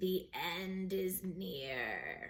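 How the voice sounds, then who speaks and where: Putting on a raspy character voice, a woman speaks at a medium pitch. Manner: ominous warning.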